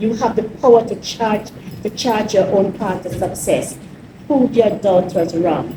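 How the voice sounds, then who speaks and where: A woman with a Jamaican accent speaks at a fairly slow pace and a medium pitch, with audible room echo and noticeable background noise. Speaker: mayor. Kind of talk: speech.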